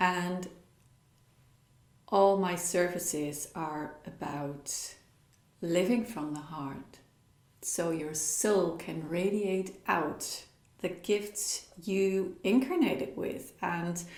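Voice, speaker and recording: A woman with a Dutch accent speaks very slowly at a fairly low pitch, with long, frequent pauses. Noticeable background noise and audible room echo surround her. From Netherlands. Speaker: spiritual coach. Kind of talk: talk with practical exercises.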